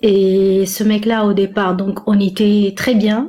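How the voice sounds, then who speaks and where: A woman speaks at a medium pitch. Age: 40s. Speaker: caller seeking relationship advice. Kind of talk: personal testimony in live call. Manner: halting, many hesitations.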